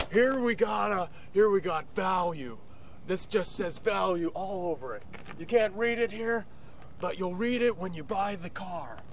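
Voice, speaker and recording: In a put-on character voice, a man speaks high and fairly slowly. Long, frequent pauses break up his speech over clear background noise. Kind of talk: comic overacting. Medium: comedy sketch. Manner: gushing, repetitive sales patter.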